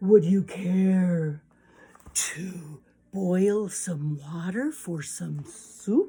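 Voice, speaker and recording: Putting on a character voice, a woman speaks at medium pitch and a very slow pace. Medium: read story. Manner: overly polite, smooth.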